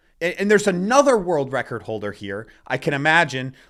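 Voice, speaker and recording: With an American accent, this man talks at a moderate pace in a high pitch with very wide pitch swings, on a very clean recording with a silent background. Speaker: weightlifting coach and YouTuber. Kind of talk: casual video commentary. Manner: animated, loud at times.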